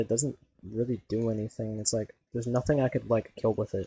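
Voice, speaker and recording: A somewhat breathy male voice at medium pitch. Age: 20s. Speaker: gaming streamer. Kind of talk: casual chat. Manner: casual, filler-heavy.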